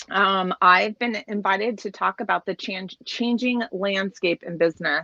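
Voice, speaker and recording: A woman talks loudly at a moderate pace in a medium-pitched voice with a bright, sharp tone. Her pitch varies in an ordinary way, and the sound is dry and close with no echo. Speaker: keynote speaker, business executive. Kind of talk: keynote talk. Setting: video call from home office in trailer. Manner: hesitant, many fillers.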